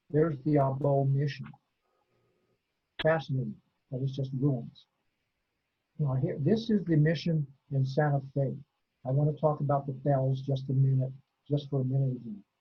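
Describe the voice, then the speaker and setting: A man with a fairly high pitch and a somewhat breathy voice talks at a moderate pace, leaving long, frequent pauses. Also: fairly even intonation. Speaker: history lecturer. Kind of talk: lecture.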